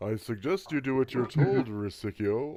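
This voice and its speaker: Putting on a booming character voice, a man speaks at a medium pitch and a moderate pace. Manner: threatening, commanding.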